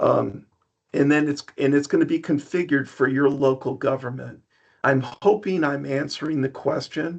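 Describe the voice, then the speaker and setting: Over a quiet background, a man with a plain, everyday voice speaks at a moderate pace in a fairly high pitch with fairly even intonation. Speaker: software presenter. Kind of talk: product demo webinar. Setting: online webinar. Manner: many filler ums.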